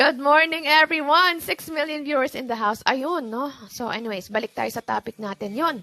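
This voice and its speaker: A woman's high voice with lively intonation, at a moderate pace with hardly any pauses, in a dry, close sound with no echo. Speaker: livestream host giving money tips. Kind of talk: casual livestream talk. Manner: calm; chatty, code-switching Taglish.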